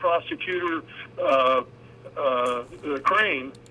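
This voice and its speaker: A man with an American accent is heard against noticeable background noise. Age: 80s+. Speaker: author and activist. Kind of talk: talk radio interview. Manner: halting, many fillers.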